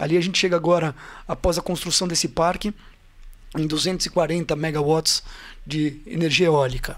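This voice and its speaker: Delivered at a moderate pace, the speech has fairly even intonation and long, frequent pauses. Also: man, high pitch for a man. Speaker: construction company CEO. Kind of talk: interview.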